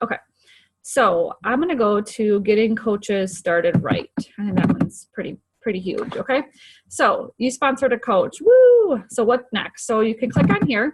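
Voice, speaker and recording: A fairly high-pitched woman's voice, its pitch varying in an ordinary way. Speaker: fitness coach team leader. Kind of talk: screen-share tutorial. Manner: fast; casual, filler-heavy.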